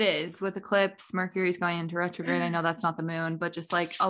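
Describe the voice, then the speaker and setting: A woman's fairly low, monotone, flat delivery at a very fast pace, with an American accent over noticeable background noise. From US Midwest, Indiana. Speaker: podcast co-host. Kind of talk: casual chat.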